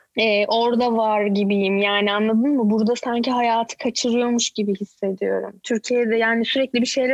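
In a dry, close sound with no echo, a woman speaks at a fairly high pitch and a moderate pace with fairly even intonation. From Turkey, Izmir. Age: 30s. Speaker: YouTuber and mother living in Canada. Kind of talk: casual chat. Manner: outspoken.

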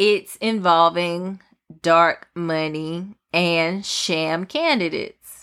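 On a very clean recording with a silent background, a woman speaks at a very slow pace. Her pitch is fairly low and her intonation fairly even. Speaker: podcast host, news commentator. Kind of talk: casual news commentary solo podcast. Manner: casual, chatty, opinionated.

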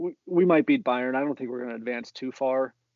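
Here is a man with an American accent. His voice sits at a medium pitch. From Central Ohio, US (Columbus suburb). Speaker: soccer fan guest. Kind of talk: casual chat.

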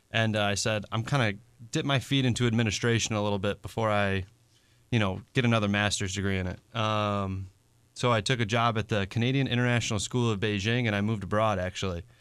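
A man's fairly low voice with an American accent, very fast pace, and a very clean recording over a silent background. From western New York (Buffalo / Niagara Falls). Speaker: roofing contractor. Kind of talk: radio interview. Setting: radio studio.

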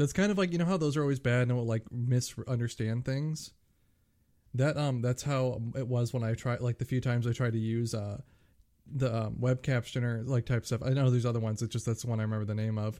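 Mumbling at a very fast pace, a man speaks in a dark, mellow tone. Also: medium pitch for a man, ordinary pitch variation. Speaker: podcast co-host. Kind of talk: casual chat.

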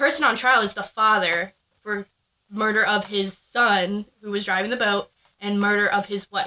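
A woman's normal speaking voice, medium in pitch. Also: moderate pace. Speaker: podcast co-host. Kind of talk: casual chat.

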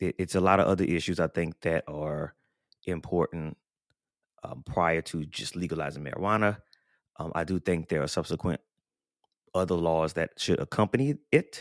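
With an American accent, a man speaks at a moderate pace in a very deep, low voice, with ordinary pitch variation and long, frequent pauses, on a very clean recording with a silent background and a dry, close sound with no echo. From US South, New Orleans. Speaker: podcast host. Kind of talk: casual chat.

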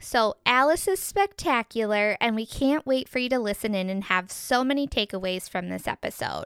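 In a dry, close sound with no echo and a silent background on a very clean recording, a woman with an American accent and an unremarkable speaking voice talks at a moderate pace in a fairly high pitch. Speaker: podcast co-host and realtor. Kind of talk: casual interview.

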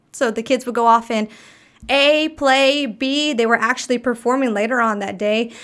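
A woman's high-pitched voice with fairly even intonation and an American accent. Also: moderate pace. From Arkansas, US South. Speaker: podcast guest, speaker and workshop leader. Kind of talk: casual chat.

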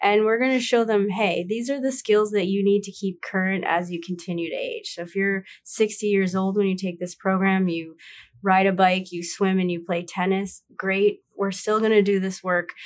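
Speaking at a moderate pace with fairly even intonation, a woman with a normal speaking voice comes through a very clean recording with a silent background. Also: medium pitch for a woman. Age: 30s. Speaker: startup co-founder. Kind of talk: interview.

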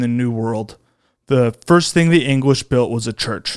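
A man talks at a fairly slow pace. His medium pitch shows ordinary variation. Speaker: podcast host. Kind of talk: comedic political monologue. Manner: not conversational; frequent filler ums.

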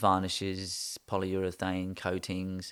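On a very clean recording with a silent background, a man with an English accent speaks in a very deep, low voice. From England. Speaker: architect. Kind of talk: interview. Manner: hesitant, many ums.

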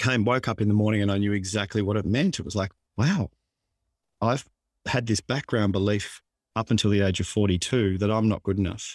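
The speaker has an Australian accent and a moderate pace with fairly even intonation. The sound is dry and close, with no echo. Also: man. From Australia, Melbourne suburb. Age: 50s. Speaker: author and mindset coach. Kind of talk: interview. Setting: remote call.

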